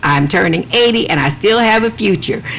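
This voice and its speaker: A woman's voice with very wide pitch swings, amid noticeable background noise. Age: 70s. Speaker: TV talk show host. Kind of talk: talk show conversation; reading own poem aloud.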